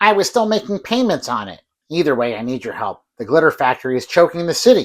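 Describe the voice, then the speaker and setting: A man puts on a character voice with a high pitch and very wide pitch swings. He rattles along at a very fast pace. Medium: short film.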